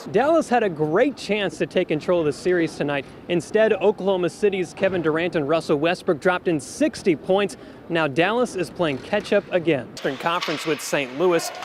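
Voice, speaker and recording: Over noticeable background noise, a man with an American accent speaks at a fairly quick pace, his high pitch showing ordinary variation. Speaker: sports reporter and anchor. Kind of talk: on-location sports standups to camera.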